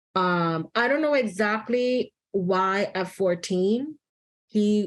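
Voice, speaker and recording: Her pitch varying in an ordinary way, a woman talks with a Spanish accent. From New York City, the Bronx. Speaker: psychotherapist. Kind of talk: interview conversation. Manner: casual with many fillers.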